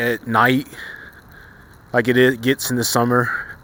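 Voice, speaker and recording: A man with a medium-pitched voice talks while noticeable background noise is heard. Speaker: YouTube commentator. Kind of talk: casual vlog commentary. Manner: fast; energetic.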